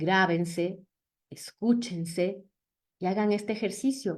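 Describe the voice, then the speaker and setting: Her intonation is lively. The woman is heard against a quiet background. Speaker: public speaking coach. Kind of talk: lecture. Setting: video call.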